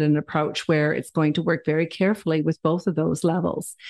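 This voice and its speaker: Speaking with a Canadian accent, a woman has a plain, everyday voice, a fairly low pitch and fairly even intonation. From Ontario, Canada. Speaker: town councillor. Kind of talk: interview.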